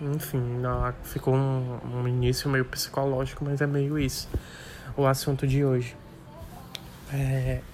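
A man's medium-pitched voice, monotone and flat, at a very slow pace with music in the background. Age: 30s. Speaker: podcaster. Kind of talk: solo monologue.

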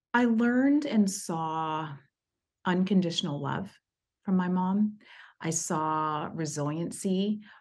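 Against a quiet background, a woman with an American accent speaks at a very slow pace at medium pitch, using lively intonation and long, frequent pauses. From East Texas, US. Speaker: HR executive. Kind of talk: interview, personal story.

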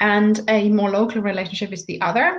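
Speaking at a fairly high pitch, a woman talks with a German accent. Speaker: life coach. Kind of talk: interview.

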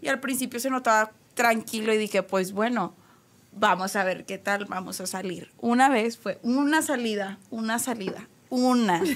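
A woman with an ordinary speaking voice talks at a fairly slow pace. Her pitch is fairly high, with ordinary pitch variation. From Monterrey, Mexico. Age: 20s. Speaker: restaurant manager. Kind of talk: casual chat. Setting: studio.

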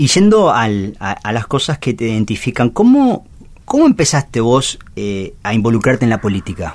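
Here a man talks at a moderate pace with lively intonation. His pitch sits in the medium range. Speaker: radio host. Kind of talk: interview. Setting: radio studio. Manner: halting.

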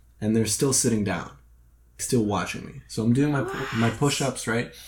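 Somewhat breathy, a man talks at a medium pitch. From Eastern Europe. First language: Russian. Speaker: podcast host. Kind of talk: casual chat.

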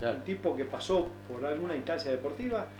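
A man's fairly high voice with very wide pitch swings, a moderate pace, and audible room echo. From Misiones, then Bariloche, Argentina. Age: 60s. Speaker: rowing club coach. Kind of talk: radio interview.

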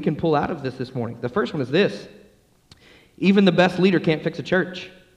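A very fast, somewhat breathy man's voice with an American accent. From US South, Atlanta, Georgia. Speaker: pastor. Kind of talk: sermon. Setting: church.

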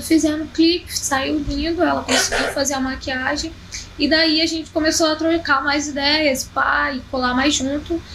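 A woman's high, monotone voice with flat intonation at a moderate pace, with audible room echo and noticeable background noise. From Rio de Janeiro, Zona Norte (Penha, Vila Cruzeiro). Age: 20s. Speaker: rapper. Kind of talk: casual interview chat.

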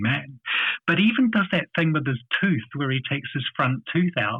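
A man talks with a New Zealand accent. His intonation is lively and his pace moderate. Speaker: business owner. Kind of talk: casual chat. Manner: halting.

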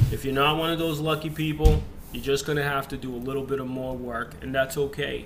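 Over noticeable background noise and audible room echo, a man talks at a fairly quick pace with fairly high pitch. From immigrant to the US, grew up in a rough US area. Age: 30s. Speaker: real estate agent and team leader. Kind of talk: casual video lecture on a book chapter.

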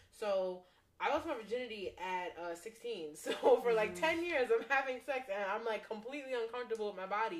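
A woman speaks at a fairly quick pace in a fairly high pitch, with an ordinary speaking voice. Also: lively intonation. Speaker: podcast co-host. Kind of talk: casual chat.

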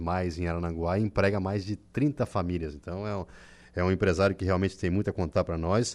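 At a moderate pace against a quiet background, a man speaks with fairly even intonation in a very deep, low voice. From southern Brazil, Santa Catarina. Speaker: radio journalist and host. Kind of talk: casual radio chat. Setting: radio studio.

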